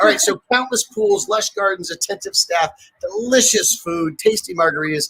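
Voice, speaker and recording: Noticeable background noise runs under this clip. A man talks at a moderate pace. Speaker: professional charity auctioneer. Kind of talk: live auction presentation to an audience. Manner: upbeat, energetic, playful. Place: home room. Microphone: webcam.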